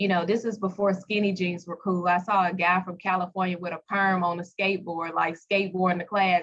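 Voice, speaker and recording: In a Southern US accent, a woman talks at medium pitch. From US South, Pine Bluff, Arkansas. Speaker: skincare entrepreneur. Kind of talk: interview.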